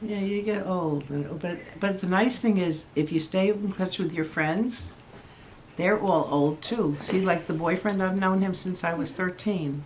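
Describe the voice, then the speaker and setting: A woman's medium-pitched voice in an American accent, fairly slow, with ordinary pitch variation over noticeable background noise. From New Jersey. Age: old. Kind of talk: casual interview.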